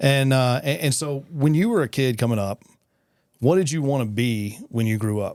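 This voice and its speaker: Moderately paced, a man with a West Texas accent speaks at a medium pitch with ordinary pitch variation on a very clean recording with a silent background. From West Texas (Midland). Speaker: podcast host. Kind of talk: casual interview.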